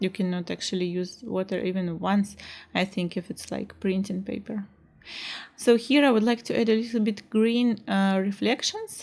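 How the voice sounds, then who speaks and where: A woman speaks with a Russian accent at a medium pitch. Her pace is moderate and her intonation fairly even. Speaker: art teacher. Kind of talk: tutorial. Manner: halting, many fillers.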